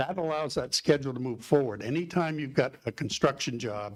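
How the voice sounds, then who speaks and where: This man talks with ordinary pitch variation. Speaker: construction professional, public commenter. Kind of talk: public board meeting. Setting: meeting room, livestreamed. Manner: loud; halting, many fillers.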